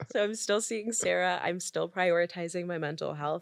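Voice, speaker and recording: A woman's fairly low voice with vocal fry, ordinary pitch variation and a moderate pace, on a very clean recording with a silent background. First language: French. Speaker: podcast guest. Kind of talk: casual chat.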